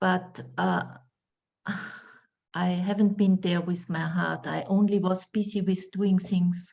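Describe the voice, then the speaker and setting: A woman with a non-native accent speaks at a very slow pace, with long, frequent pauses, at a medium pitch. Her dark, mellow tone is somewhat breathy and her intonation monotone and flat. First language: not English. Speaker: meditation class participant. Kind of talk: casual remarks in class. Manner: halting.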